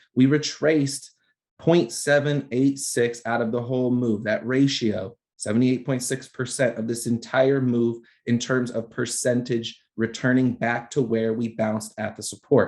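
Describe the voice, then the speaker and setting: A man talks at a medium pitch and moderate pace. His intonation stays fairly even. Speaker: trading educator. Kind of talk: live trading analysis lesson.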